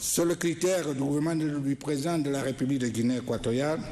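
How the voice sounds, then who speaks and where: The man's voice sits fairly high in pitch and shows ordinary pitch variation. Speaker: government minister. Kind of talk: formal speech. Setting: ceremony with audience. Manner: halting.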